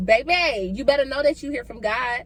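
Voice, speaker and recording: Noticeable background noise surrounds a woman talking in an animated tone. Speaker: ministry founder and vlogger. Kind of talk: casual faith vlog monologue.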